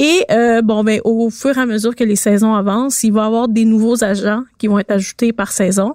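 With a Quebec accent, a woman speaks at a moderate pace and fairly high pitch, her loudness very even, in a dry, close sound with no echo. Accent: Québécois French. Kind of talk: casual chat. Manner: enthusiastic.

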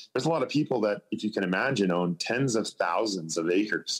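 A man with a Canadian accent and an unremarkable speaking voice talks at a fairly quick pace with lively intonation. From Vancouver Island, British Columbia, Canada. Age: young. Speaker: classic car hunter on TV. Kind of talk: interview.

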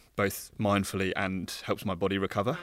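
A man with an unremarkable speaking voice and a fairly low pitch talks at a moderate pace in a very clean recording with a silent background. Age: 30s. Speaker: emergency doctor. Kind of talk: casual interview.

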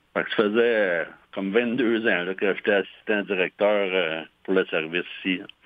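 Fairly low-pitched and fairly slow, a man talks in a Quebec accent with fairly even intonation. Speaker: fire chief. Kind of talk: interview. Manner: halting.

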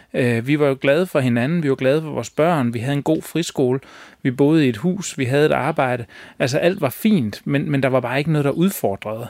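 A fairly high-pitched male voice with ordinary pitch variation and a fairly quick pace. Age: 40s. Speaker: designer and folk high school staff. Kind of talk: interview. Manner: halting, many fillers.

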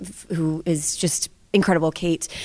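The woman has an unremarkable speaking voice. It sits fairly low in pitch, with fairly even intonation. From US South, Georgia. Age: 30s. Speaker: stage actress and dancer. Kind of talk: interview.

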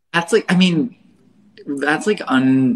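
A man speaks in a plain, everyday voice with an American accent. His pace is moderate and his pitch variation ordinary. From western Pennsylvania. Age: 20s. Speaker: artist and baker. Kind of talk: casual chat.

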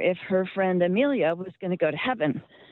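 Over noticeable background noise, a woman speaks at a moderate pace. She has an American accent and a medium pitch. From Cincinnati, Ohio (US Midwest). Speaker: radio caller. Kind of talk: phone-in question. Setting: phone call.

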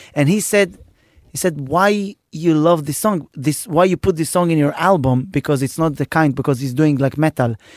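At a moderate pace, a man with an Israeli accent speaks at a fairly high pitch with ordinary pitch variation, in a dry, close sound with no echo. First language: Hebrew. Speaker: comedian and podcast host. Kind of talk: casual chat.

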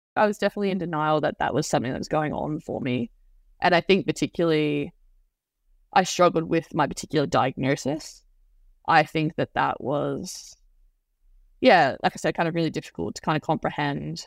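A woman with a very deep, low pitch and vocal fry speaks at a fairly quick pace but with long, frequent pauses, recorded very cleanly against a silent background with a dry, close sound and no echo. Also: ordinary pitch variation. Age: 20s. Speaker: youth counselor. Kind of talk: testimony. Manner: hesitant, many fillers.

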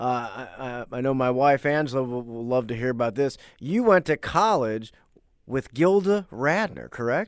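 Here is a normal speaking voice, a man at medium pitch. He moves at a moderate pace with lively intonation. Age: 30s. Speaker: podcast host. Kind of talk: casual interview.

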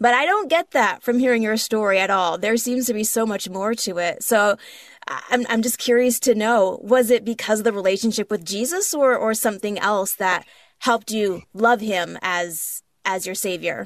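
A woman speaks at a moderate pace with a fairly high pitch. She has a plain, everyday voice. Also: ordinary pitch variation. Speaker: podcast co-host. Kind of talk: interview.

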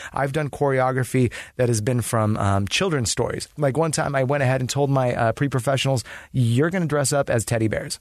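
A man talks at a fairly quick pace with very even loudness. His medium pitch shows ordinary variation against a quiet background. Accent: Californian. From Los Angeles, US. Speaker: dancer and DJ. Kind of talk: casual chat.

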